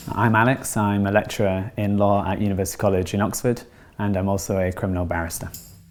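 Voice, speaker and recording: Very fast delivery with an utterly flat, monotone intonation, in a northern English accent. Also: man, fairly low pitch for a man. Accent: regional northern English. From northern England, West Yorkshire near Bradford. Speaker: law lecturer and barrister. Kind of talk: interview monologue; casual chat.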